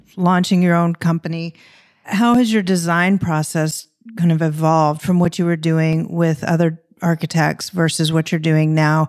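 A woman with a plain, everyday voice, fairly low in pitch, at a moderate pace, in a dry, close recording with no echo. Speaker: interior design podcast host. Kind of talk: interview, casual conversation.

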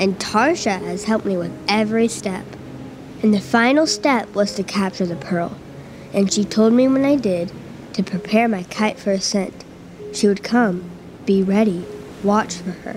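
Over noticeable background noise, a woman with a medium pitch speaks in an animated tone at a moderate pace, with ordinary pitch variation and long, frequent pauses. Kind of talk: literary audiobook reading, first-person fantasy narration performed with dramatic flair. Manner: animated, urgent, tense, building suspense.

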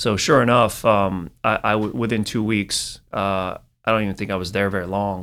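Recorded very cleanly against a silent background, a man speaks with an American accent in a fairly low pitch. His pace is moderate and his pitch variation ordinary. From Northern California, East Bay. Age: 40s. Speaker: marketing executive. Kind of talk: casual interview.

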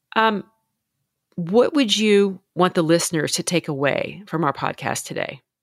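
A woman with an American accent speaks in an unremarkable speaking voice at a medium pitch, her intonation lively, on a very clean recording with a silent background and a dry, close sound with no echo. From Louisiana, US South. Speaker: podcast host and confidence coach. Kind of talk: interview.

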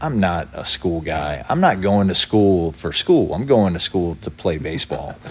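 Very deep, low male pitch with lively intonation, a moderate pace and hardly any pauses, over noticeable background noise. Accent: American. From Lynchburg, Virginia. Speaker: former pro baseball pitcher. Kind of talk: casual interview.

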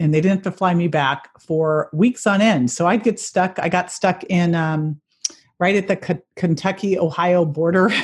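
A woman with an American accent speaks at a moderate pace in a fairly low, somewhat breathy voice, with ordinary pitch variation and very even loudness. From Northern California (Berkeley). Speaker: health and fitness expert, author. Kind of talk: interview.

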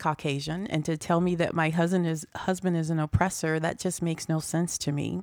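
A woman's plain, everyday voice, fairly low-pitched, at a moderate pace with fairly even intonation, in a very clean recording with a silent background. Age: 50s. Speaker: political candidate. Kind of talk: political speech.

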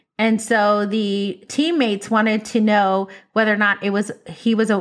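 Moderate-paced speech on a very clean recording with a silent background. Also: woman. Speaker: podcast co-host. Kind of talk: casual chat. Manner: bold, loud.

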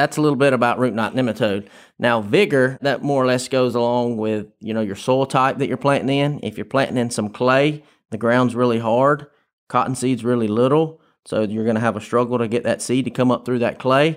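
The speaker has a Southern US accent and fairly even intonation. The recording is very clean, with a silent background. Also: man, medium pitch for a man, fairly quick pace. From Tifton, south Georgia, US. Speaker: research farm manager. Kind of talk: interview.

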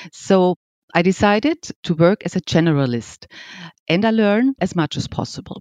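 A woman with a German accent speaks at a fairly low pitch and a moderate pace with lively intonation. Her voice sounds dry and close with no echo over a quiet background. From Austria. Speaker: piano company executive. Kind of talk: interview.

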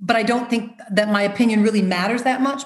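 At a moderate pace, a woman with an American accent uses a normal speaking voice with fairly even intonation. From US Midwest, Rockford, Illinois. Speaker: choreographer and dancer. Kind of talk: interview.

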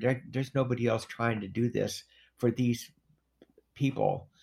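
At a fairly slow pace, a man with a medium pitch speaks in fairly even intonation, with vocal fry. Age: 60s. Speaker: formerly incarcerated man, hospice advocate. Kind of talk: casual interview conversation.

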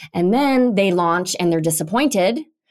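A woman speaks in an unremarkable speaking voice at medium pitch. Her intonation is lively. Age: 40s. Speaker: podcast host. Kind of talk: interview.

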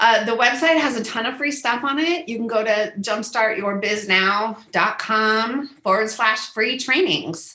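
Her pitch fairly high, a woman speaks with lively intonation and an animated tone, with audible room echo. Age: 50s. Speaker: business coach. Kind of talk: interview.

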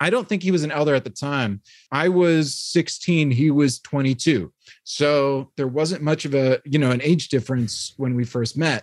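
A man with an American accent speaks in an ordinary speaking voice at a moderate pace. His pitch is fairly high with ordinary variation, and the sound is dry and close with no echo. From New York (Hyde Park, Dutchess County). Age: 30s. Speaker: former theologian and writer. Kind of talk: casual interview.

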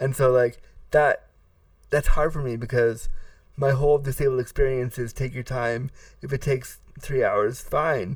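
A somewhat breathy man's voice, medium in pitch, at a moderate pace with fairly even intonation and long, frequent pauses, on a very clean recording with a silent background. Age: 30s. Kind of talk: interview.

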